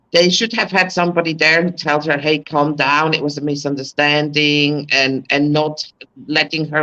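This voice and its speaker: The words come at a moderate pace, carrying a non-native accent. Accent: foreign. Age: 60s. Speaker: expat. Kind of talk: casual chat.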